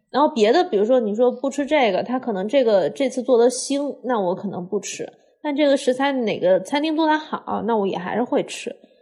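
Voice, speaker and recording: A woman talks at a fairly quick pace with hardly any pauses and lively intonation. Her pitch is high, and her tone is dark and mellow. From Hunan, China. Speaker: podcast co-host, cook. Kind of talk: casual chat.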